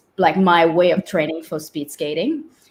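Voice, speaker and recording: Speaking at a moderate pace, a woman uses a fairly low pitch. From Quebec, Canada (Montreal). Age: 30s. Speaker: ultrarunner. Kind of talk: interview chat. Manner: halting, many fillers.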